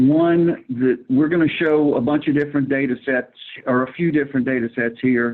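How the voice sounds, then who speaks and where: A fairly high male voice with an American accent, fairly even intonation and a moderate pace. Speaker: flood risk presenter. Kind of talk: presentation.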